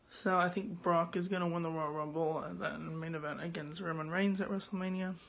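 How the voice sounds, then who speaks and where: Speaking fairly quickly, a woman's voice carries audible echo from the room. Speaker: YouTuber giving wrestling predictions. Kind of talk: casual vlog monologue. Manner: hesitant with fillers.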